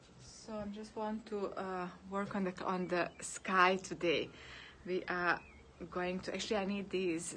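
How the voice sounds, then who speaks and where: A woman with a bright, sharp tone and a Serbo-Croatian accent, medium in pitch, at a moderate pace with fairly even intonation. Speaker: painter. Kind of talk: live stream chat while painting. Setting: outdoors in bright sun. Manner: halting, many fillers.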